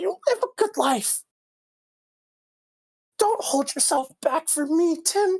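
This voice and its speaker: An extremely high, female-sounding put-on character voice at a fairly slow pace, with long, frequent pauses. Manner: tender, self-sacrificing.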